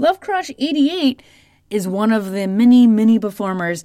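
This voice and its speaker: Her tone is relaxed, dark and mellow, with a fairly high pitch. The woman speaks at a fairly slow pace. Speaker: local music radio DJ. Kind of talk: late-night radio DJ patter, station IDs and song back-announcing. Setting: radio studio. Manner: casual, relaxed and friendly, repeating call letters and web plugs; chuckles between links, easygoing.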